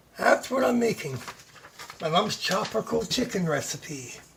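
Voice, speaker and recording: A moderate pace over noticeable background noise. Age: 60s. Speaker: home cook vlogger. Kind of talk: cooking tutorial. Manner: casual.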